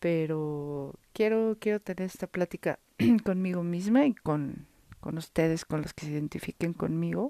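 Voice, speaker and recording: Speaking with a Mexico City accent, the voice has a dark, mellow tone, ordinary pitch variation and a fairly slow pace. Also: woman, fairly low pitch for a woman. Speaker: podcaster, digital agency owner. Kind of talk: solo monologue, personal diary-style podcast. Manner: unscripted, casual.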